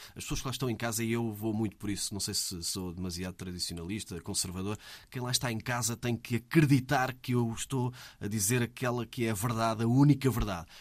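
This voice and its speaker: An unremarkable speaking voice from a man at a medium pitch, fairly quick in pace with ordinary pitch variation, on a very clean recording with a silent background. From Portugal, Ribatejo (Almeirim). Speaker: sports radio reporter. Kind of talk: casual interview.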